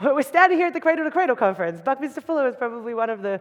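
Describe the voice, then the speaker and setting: A woman talks with an Australian accent. Her pitch swings very widely. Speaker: designer and keynote speaker. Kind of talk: conference talk. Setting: stage with audience. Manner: fast.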